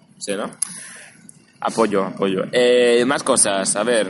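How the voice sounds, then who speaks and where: An ordinary speaking voice moves at a fairly slow pace. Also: man. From Barcelona, Spain. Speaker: podcast host. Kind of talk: casual chat. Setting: recorded in person outdoors near an event venue.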